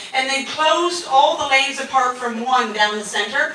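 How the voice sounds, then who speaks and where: Amid audible room echo and noticeable background noise, a woman speaks in a raised, projected voice at a high pitch. Her tone is animated, her intonation lively, and her pace moderate. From Canada. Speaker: stand-up comedian. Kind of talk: stand-up.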